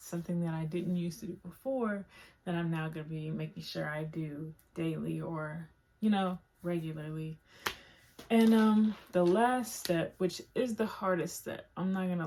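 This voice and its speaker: Somewhat breathy, with a dark, mellow tone and a fairly low pitch, a woman speaks at a moderate pace with ordinary pitch variation. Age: 20s. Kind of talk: casual talk to camera. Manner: casual, filler-heavy.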